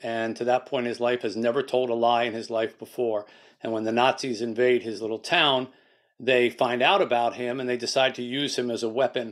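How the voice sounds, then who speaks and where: In a quiet background, a man talks at a fairly quick pace with flat, monotone intonation. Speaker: guest. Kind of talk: interview answer. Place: home room. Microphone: video call.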